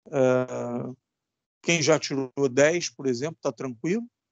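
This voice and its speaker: A man's fairly high voice, with ordinary pitch variation, moves at a very slow pace. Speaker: electronics teacher. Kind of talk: lecture.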